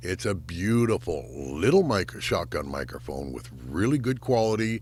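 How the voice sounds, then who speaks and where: The voice is rumbling, with vocal fry, very wide pitch swings and a fairly slow pace. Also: man. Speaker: YouTuber reviewing gear. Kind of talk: product review. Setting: home sound booth. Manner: casual, conversational. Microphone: recorded on studio microphone and camera shotgun mic.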